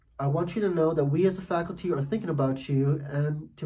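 A man speaks with a dark, mellow tone, ordinary pitch variation and a somewhat breathy quality. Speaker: English professor. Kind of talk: video message.

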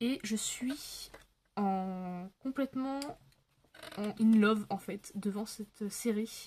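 A woman with a fairly high pitch and a dark, mellow tone speaks somewhat breathily at a very slow pace, with ordinary pitch variation, long, frequent pauses and light background noise. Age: 20s. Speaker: YouTuber, adult colouring channel; colouring hobby vlogger. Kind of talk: casual chat to camera while colouring; casual vlog chat. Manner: hesitant, many fillers. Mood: relaxed, chatty. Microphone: phone near.

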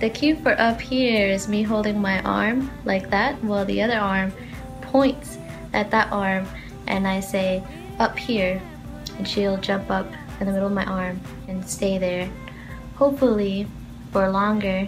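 Against clear music in the background, a woman speaks at a fairly slow pace with fairly even intonation and long, frequent pauses. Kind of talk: tutorial. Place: home room. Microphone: phone near.

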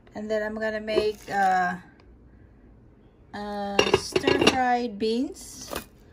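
Loud background noise surrounds a woman speaking at a very slow pace. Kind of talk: casual vlog chat. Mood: cheerful, playful. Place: kitchen. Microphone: phone near.

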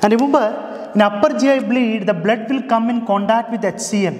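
At a fairly slow pace, a man talks with ordinary pitch variation in a room with audible echo. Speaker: medical teacher. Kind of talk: lecture. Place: classroom.

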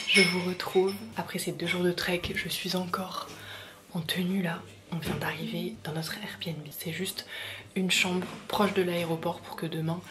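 Soft-spoken and whispering, the speaker goes at a fairly slow pace with long, frequent pauses over noticeable background noise. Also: woman. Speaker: beauty and travel vlogger; travel vlogger. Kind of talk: casual vlog. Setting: indoors in a rented room. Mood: relaxed, a bit nostalgic. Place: home room. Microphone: phone near.

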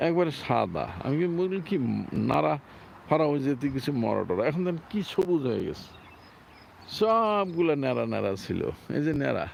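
A man with a fairly high pitch and lively intonation talks in a normal speaking voice. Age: 60s. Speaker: Islamic preacher, vlogger. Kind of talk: informal religious talk, walking vlog. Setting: outdoors, apartment grounds.

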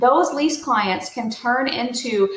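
A woman's high-pitched voice comes through with audible room echo. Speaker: real estate coach. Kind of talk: tutorial. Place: home room. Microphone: webcam.

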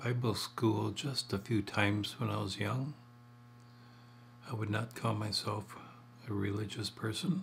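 A man speaks fairly slowly, his fairly low voice showing vocal fry and fairly even intonation. Long, frequent pauses break it up over light background noise. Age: 70s. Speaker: retiree telling life memories. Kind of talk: personal storytelling to camera. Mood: calm, reflective storytelling. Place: home room. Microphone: webcam.

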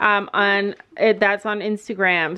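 This is a woman with a normal speaking voice. She talks at a fairly slow pace. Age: 40s. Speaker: family vlogger, mother. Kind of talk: casual chat.

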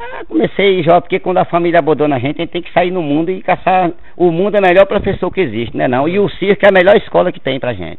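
A man races along at a very fast pace, his pitch varying in an ordinary way while his loudness swings widely. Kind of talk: interview answer. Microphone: phone near.

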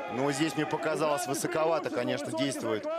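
Noticeable background noise sits behind a man with an animated tone. He talks at a fairly quick pace with ordinary pitch variation. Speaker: rugby commentator. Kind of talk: live sports commentary on a rugby match, with highlights voiceover. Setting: stadium broadcast in Monino. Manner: animated, rapid-fire play-by-play, rising excitement on tries; rapid, clipped name-and-action calls, with asides explaining the play.

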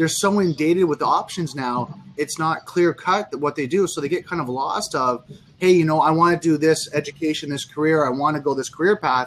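A man's voice at a fairly quick pace, ordinary pitch variation, light background noise. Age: 40. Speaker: social media marketer; guest. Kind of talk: casual chat. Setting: video call. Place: home room. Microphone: video call.

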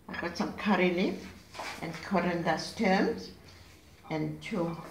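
Over light background noise and audible room echo, a woman talks at a fairly low pitch with ordinary pitch variation. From South Africa. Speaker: home cook. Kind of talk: cooking demonstration. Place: kitchen. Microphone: phone near.

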